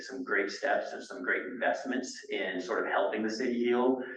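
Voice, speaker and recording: Noticeable background noise and audible room echo around a man speaking at a moderate pace. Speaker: city manager. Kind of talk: speech to a board meeting. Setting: meeting room at a senior center. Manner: loud.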